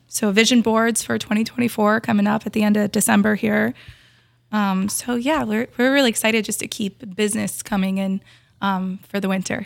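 A woman in a normal speaking voice with an American accent, medium in pitch, fairly quick and fairly even in intonation. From Brainerd Lakes area, Minnesota. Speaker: store employee and event organizer. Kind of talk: casual interview. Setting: in the store.

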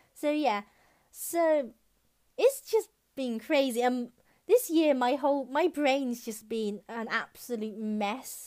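A very clean recording with a silent background of a woman with a British accent, high-pitched, at a very slow pace and with ordinary pitch variation. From UK. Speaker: podcast host. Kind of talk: casual monologue. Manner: hesitant, filler-heavy.

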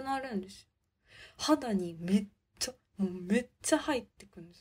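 A woman with a medium pitch and a somewhat breathy voice is heard in a very clean recording with a silent background. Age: 20s. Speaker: podcast host. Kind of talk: casual monologue. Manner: speeds up when excited.

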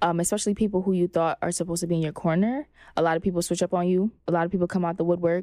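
A woman talks very fast in a Brooklyn accent, her loudness very even and her intonation fairly even. Her tone is dark and mellow, and the sound is dry and close with no echo. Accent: New York (Brooklyn). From Flatbush, Brooklyn, New York. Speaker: actress and entrepreneur. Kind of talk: casual interview. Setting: podcast studio.

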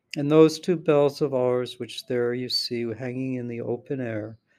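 This man has an unremarkable speaking voice with ordinary pitch variation. He talks at a fairly slow pace. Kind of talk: dramatic narration of poetry, reading aloud; reading aloud poetry. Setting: traveling, recorded on a laptop. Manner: formal, measured.

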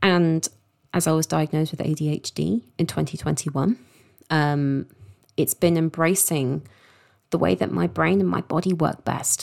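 Through a dry, close sound with no echo, a woman with a southern English accent speaks at a fairly slow pace in a very deep, low pitch, with lively intonation, very even loudness, and long, frequent pauses. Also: very clean recording, silent background. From London, England. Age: 30s. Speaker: sex coach and podcast host. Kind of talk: personal storytelling monologue.

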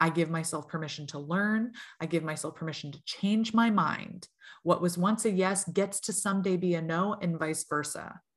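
Somewhat breathy speech at a moderate pace shows big swings in loudness and ordinary pitch variation against a quiet background. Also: woman, fairly low pitch for a woman. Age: 40s. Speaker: tarot reader. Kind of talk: casual chat.

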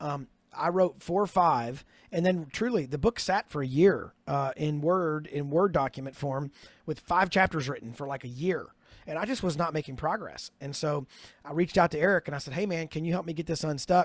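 A fairly high-pitched man with an ordinary speaking voice talks at a moderate pace with ordinary pitch variation, the recording very clean, dry and close with no echo and a silent background. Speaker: author and ministry leader. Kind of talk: casual interview chat.

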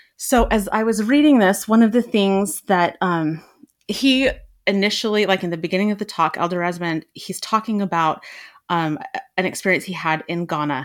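Speaking at a moderate pace, a woman uses an ordinary speaking voice with a medium pitch. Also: ordinary pitch variation, very clean recording, silent background. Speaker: podcast panelist. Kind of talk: casual discussion.

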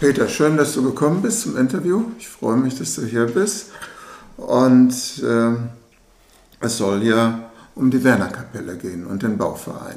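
A man speaks at a fairly slow pace with long, frequent pauses and very wide pitch swings. Noticeable background noise and audible room echo are present. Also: medium pitch for a man, big swings in loudness. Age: 70s. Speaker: interviewer. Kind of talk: interview.

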